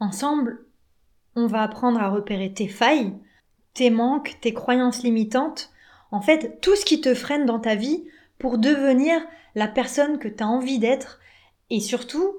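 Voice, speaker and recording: With long, frequent pauses, a woman speaks at a fairly slow pace in a high voice with ordinary pitch variation. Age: 30s. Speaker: relationship coach. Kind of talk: podcast monologue.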